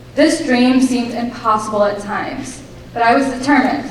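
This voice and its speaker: At a moderate pace, a woman with a fairly high pitch and ordinary pitch variation speaks amid noticeable background noise and audible room echo. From abroad, moved to US as a child in 2009. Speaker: graduate guest speaker. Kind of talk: speech.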